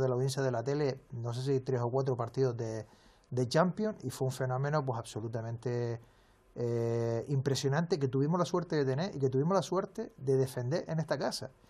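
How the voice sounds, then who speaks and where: A man with a Canarian accent speaks at a fairly quick pace in a dark, mellow, somewhat breathy voice. The recording is very clean, with a silent background. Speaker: sports journalist. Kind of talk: interview.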